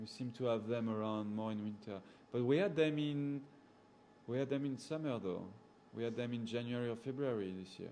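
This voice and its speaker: A man's medium-pitched voice with a strong French accent, fairly quick in pace with ordinary pitch variation, in audible room echo. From Gabon, central Africa. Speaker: safari guide. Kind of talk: live chat with viewers. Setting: indoors at a computer, talking over PC. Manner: casual, hesitant with fillers.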